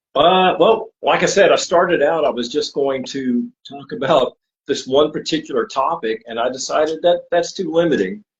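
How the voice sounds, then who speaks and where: A man with a fairly high pitch, lively intonation and a moderate pace, hardly pausing at all. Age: 60s. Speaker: podcaster and guest. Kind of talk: casual interview chat. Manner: halting, many fillers.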